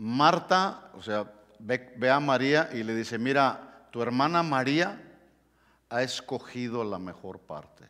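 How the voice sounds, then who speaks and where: A man speaks very slowly at a medium pitch with ordinary pitch variation. The background is quiet. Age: 60s. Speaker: pastor. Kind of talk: sermon. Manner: halting. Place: church.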